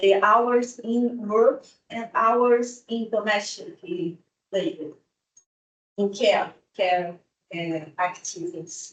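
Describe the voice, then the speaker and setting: A woman with a fairly high pitch speaks at a very slow pace with lively intonation. Her pauses are long and frequent. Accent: Brazilian. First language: Portuguese. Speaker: economics researcher. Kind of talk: academic conference presentation. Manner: halting, non-fluent English.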